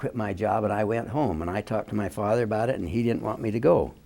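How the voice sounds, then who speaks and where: A man with an American accent rattles off words very fast in a fairly low voice with a dark, mellow tone. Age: 80s+. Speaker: war veteran. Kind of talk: oral history interview. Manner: halting.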